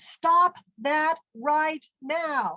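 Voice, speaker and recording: A woman shouting in a put-on character voice, high in pitch with ordinary pitch variation, in a dry, close sound with no echo. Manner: stern, commanding, shouted.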